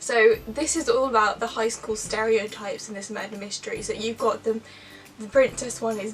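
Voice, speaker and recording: Noticeable background noise accompanies a speaker with an English accent talking at a moderate pace. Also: woman. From England. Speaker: booktuber. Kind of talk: casual chat. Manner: halting.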